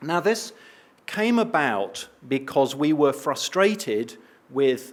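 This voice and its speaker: A man in an English accent speaks with a fairly high pitch and very wide pitch swings. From eastern England. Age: old. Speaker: respiratory physician and researcher. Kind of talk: conference talk.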